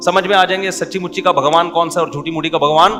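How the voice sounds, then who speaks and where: A man's high-pitched voice with music playing in the background. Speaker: Islamic scholar. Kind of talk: religious sermon.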